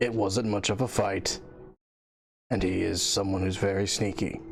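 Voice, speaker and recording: Doing a put-on character voice, a man sounds raspy at a fairly low pitch, with faint music in the background. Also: moderate pace. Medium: actual play. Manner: deadpan, dry.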